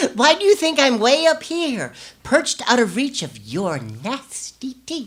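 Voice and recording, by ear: A woman's put-on character voice, high in pitch and fairly bright, with big pitch swings at a slow pace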